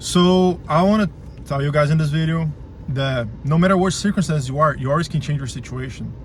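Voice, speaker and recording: A man with a Portuguese accent and a fairly high pitch speaks at a fairly quick pace over noticeable background noise. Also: ordinary pitch variation. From Brazil. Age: 20s. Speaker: vlogger. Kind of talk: motivational rant to camera. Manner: halting, many repeated words; emphatic, swearing.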